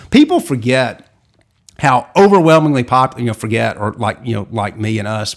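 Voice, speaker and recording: At a moderate pace, a man talks at medium pitch in an ordinary speaking voice. The recording is very clean, with a silent background. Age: 40s. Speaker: Disney historian, author and attorney. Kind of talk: casual interview.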